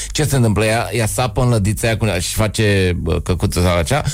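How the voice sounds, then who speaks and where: In a normal speaking voice, a man talks at a moderate pace with fairly low pitch and ordinary pitch variation. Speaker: comedian. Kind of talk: casual chat.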